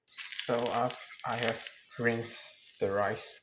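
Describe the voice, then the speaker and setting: Noticeable background noise is audible. A man talks over it. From Myanmar. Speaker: student. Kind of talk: casual cooking vlog talk to camera. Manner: relaxed, chill.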